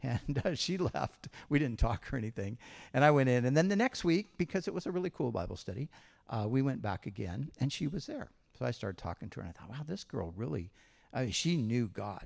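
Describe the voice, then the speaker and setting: Very wide pitch swings and vocal fry mark this man's American accent. He talks at a very fast pace on a very clean recording with a silent background. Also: medium pitch for a man. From Southern California, Huntington Beach area. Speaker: pastor. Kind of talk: church interview. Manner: casual.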